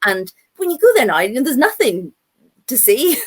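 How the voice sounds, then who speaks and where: A woman with a Northern Irish accent speaks at a moderate pace. Her voice is somewhat breathy, with very wide pitch swings. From Northern Ireland. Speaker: children's author. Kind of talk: panel talk. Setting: live online video event. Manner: animated.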